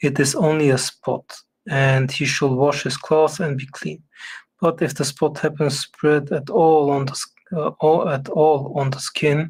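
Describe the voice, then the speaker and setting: On a very clean recording with a silent background, a man with a fairly high pitch speaks at a fairly slow pace, somewhat breathy, in a monotone, flat intonation. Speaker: Bible reading streamer. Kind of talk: reading aloud. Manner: halting, stumbles over words.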